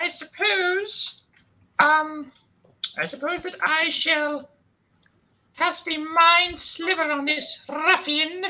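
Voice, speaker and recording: Someone uses a put-on character voice at an extremely high pitch and a very slow pace. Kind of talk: pompous, archaic.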